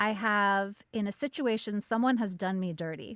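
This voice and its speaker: A woman speaks at medium pitch. Her pitch variation is ordinary. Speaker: podcast host. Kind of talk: casual interview chat. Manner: soothing, yoga-teacher voice.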